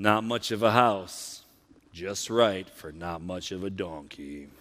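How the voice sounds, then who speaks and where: A man puts on a character voice, very deep and low in pitch, at a fairly slow pace. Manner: gloomy, dejected.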